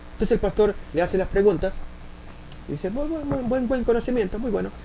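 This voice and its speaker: A man with an Argentine accent, high-pitched, very fast, with very wide pitch swings and audible room echo. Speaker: preacher. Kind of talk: sermon. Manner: halting.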